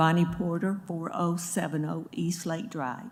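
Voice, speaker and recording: This woman's voice sits fairly low in pitch. It sounds shaky. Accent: Alabama. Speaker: neighborhood resident speaking at public hearing. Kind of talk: public comment at city meeting. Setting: public meeting room with microphone.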